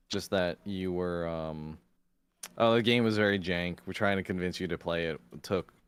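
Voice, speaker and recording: A man talks at a moderate pace in a very deep, low voice with fairly even intonation, on a very clean recording with a silent background. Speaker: vtuber streamer. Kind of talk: casual chat. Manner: quiet. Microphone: too quiet on stream.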